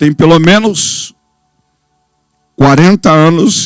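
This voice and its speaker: Lively intonation over music in the background. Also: man, dry, close sound with no echo. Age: 60s. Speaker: pastor. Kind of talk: sermon.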